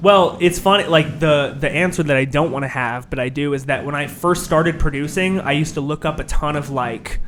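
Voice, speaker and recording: Fairly quick male voice, fairly high in pitch, with fairly even intonation and noticeable background noise. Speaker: rapper and producer. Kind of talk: casual interview.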